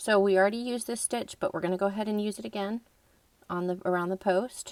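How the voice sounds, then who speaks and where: At a fairly quick pace, a woman speaks at a medium pitch with fairly even intonation and an unremarkable speaking voice. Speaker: crochet instructor. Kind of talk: tutorial.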